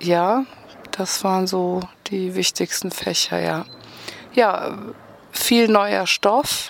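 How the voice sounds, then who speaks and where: Over noticeable background noise, a woman with a medium-pitched voice speaks very slowly and with fairly even intonation, leaving long, frequent pauses. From Rhineland, near Bonn. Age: 40s. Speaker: sports therapist. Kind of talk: interview.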